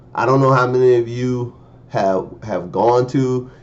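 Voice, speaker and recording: A man speaks at a medium pitch and a moderate pace. There is audible echo from the room. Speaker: preacher. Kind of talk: sermon. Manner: animated.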